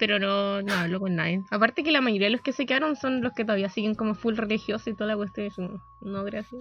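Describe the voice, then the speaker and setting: Speech in a Chilean accent comes at a very fast pace with hardly any pauses and ordinary pitch variation. Music plays in the background. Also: woman, fairly high pitch for a woman. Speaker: podcast co-host. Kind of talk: casual chat.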